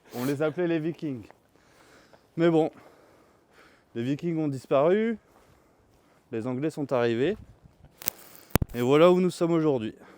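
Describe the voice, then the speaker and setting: A man speaks at a fairly high pitch with ordinary pitch variation. His pace is fairly slow, broken by long, frequent pauses. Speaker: vlogger. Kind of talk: vlog narration; casual chat. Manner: loud.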